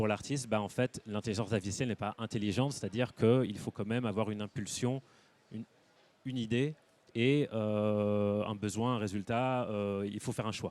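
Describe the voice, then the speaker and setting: A man with a fairly low pitch and fairly even intonation. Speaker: artist and photographer. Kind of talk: panel talk interview. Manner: fast; hesitant with many fillers.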